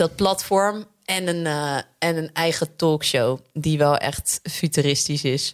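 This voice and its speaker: The recording is very clean, with a silent background. A woman speaks very slowly at a very deep, low pitch. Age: 20s. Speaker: radio presenter and author. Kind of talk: interview.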